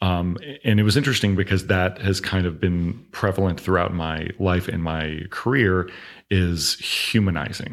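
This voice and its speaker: With an American accent, a man talks at a moderate pace in a very deep, low voice with ordinary pitch variation. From US South, Augusta, Georgia. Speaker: television screenwriter. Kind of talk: interview conversation.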